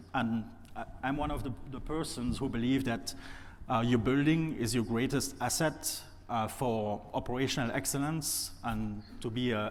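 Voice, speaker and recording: A man in a French accent, medium in pitch, with fairly even intonation and audible room echo. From France. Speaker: industrial facilities expert. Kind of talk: panel discussion. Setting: stage with audience.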